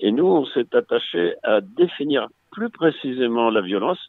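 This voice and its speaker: A man with an ordinary speaking voice, lively intonation and a fairly slow pace. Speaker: retired clinical psychologist. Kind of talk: interview.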